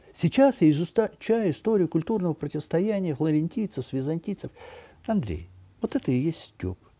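A man speaks at a moderate pace in a high voice with a dark, mellow tone. His intonation is lively. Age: 60s. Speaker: architect and art commentator; commentator. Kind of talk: video monologue. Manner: conversational, with hesitations. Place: home room. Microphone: webcam.

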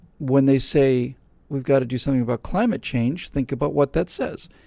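In a dry sound with no echo and a quiet background, a man speaks in a dark, mellow tone with ordinary pitch variation. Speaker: show host answering questions. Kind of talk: commentary. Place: studio. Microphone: studio mic.

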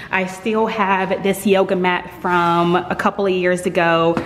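With audible room echo and light background noise, a woman talks at a fairly slow pace. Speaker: home gym vlogger. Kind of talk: casual vlog chat. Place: garage. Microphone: phone near.

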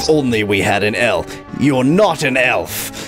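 Clear music plays behind a man doing a put-on character voice. He speaks at medium pitch and a fairly slow pace. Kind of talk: comic overacting. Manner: cold, suspicious, prejudiced.

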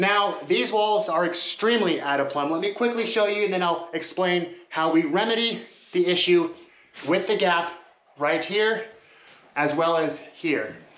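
Audible room echo surrounds a man speaking at a high pitch. His pace is fairly slow, with ordinary pitch variation. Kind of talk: tutorial. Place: bathroom. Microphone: phone near.

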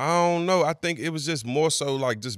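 A man has an ordinary speaking voice with ordinary pitch variation. He talks at a fairly quick pace on a very clean recording with a silent background. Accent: American. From Maryland, US. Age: 30s. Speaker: DJ and podcast host. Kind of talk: casual chat.

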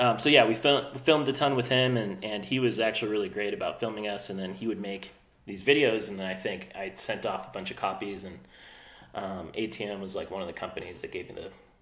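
In a room with audible echo, a man at a fairly low pitch talks at a fairly quick pace with ordinary pitch variation. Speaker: podcast guest. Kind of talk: interview answer. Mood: relaxed, friendly. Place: home room.

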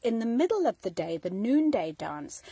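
A woman's dark, mellow tone, dry with no echo, over a quiet background. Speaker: home vlogger. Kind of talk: casual vlog chat. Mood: warm, nostalgic. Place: home room. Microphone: phone near.

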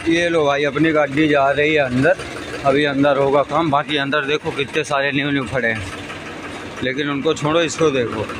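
Spoken at a fairly slow pace, the clip has noticeable background noise and a dry sound with no echo. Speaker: tractor owner vlogger. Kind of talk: casual vlog chat. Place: street. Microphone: phone near.

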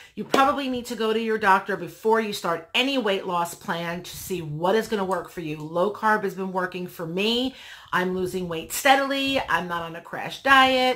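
At a moderate pace with hardly any pauses, a woman speaks with lively intonation and big swings in loudness. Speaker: vlogger. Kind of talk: casual vlog chat. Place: home room.

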